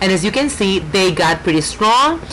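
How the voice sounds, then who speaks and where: A woman with a Puerto Rican accent at a moderate pace, over noticeable background noise. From Puerto Rico. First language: Spanish. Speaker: nail artist. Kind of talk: tutorial. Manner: halting, many fillers.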